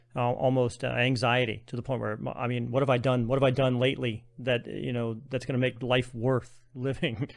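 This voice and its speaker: In an ordinary speaking voice, the speaker moves at a fairly quick pace with fairly even intonation. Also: man. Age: 40s. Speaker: podcast host. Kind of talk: podcast interview.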